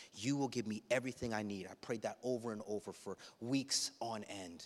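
A man with a plain, everyday voice and ordinary pitch variation, on a very clean recording with a silent background. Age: 30s. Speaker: pastor. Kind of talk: sermon. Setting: church.

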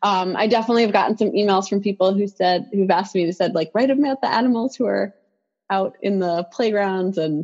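Over a quiet background, a woman talks at a fairly quick pace in a normal speaking voice, medium in pitch with ordinary pitch variation. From New York City. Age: 40s. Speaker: professor and children's author. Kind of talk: guided meditation; interview. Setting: video call.

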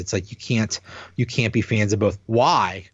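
A man speaks at a fairly low pitch. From Pittsburgh, Pennsylvania. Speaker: podcast host, sports fan. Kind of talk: casual chat. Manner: halting, many fillers and restarts.

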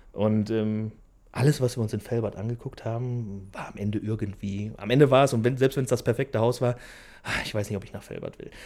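On a very clean recording with a silent background, a man talks at a fairly quick pace in an ordinary speaking voice, medium in pitch with fairly even intonation and big swings in loudness. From Germany, Velbert (Bergisches Land, NRW). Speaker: business owner. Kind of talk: interview. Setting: factory hall.

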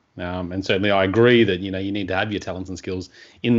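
With an Australian accent, a man speaks in a very deep, low voice. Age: 30s. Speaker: podcast host, personal development coach. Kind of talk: interview.

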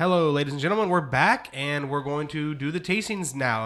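A man with an American accent at a moderate pace, fairly high in pitch, with ordinary pitch variation. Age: 30s. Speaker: podcast host. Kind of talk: casual chat. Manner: halting.

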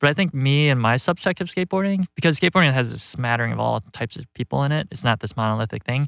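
Very fast and lively in intonation, a man at medium pitch is heard on a very clean recording with a silent background and a dry, close sound with no echo. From US Midwest, Rockford, Illinois. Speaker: documentary filmmaker. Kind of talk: interview. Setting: studio. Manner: casual, many fillers.

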